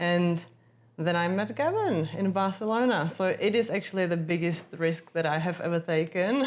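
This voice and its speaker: A woman with a Czech accent, fairly low pitch, ordinary pitch variation, very even loudness and a moderate pace. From Czech Republic, Prague. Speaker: agency founder, former journalist. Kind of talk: interview conversation.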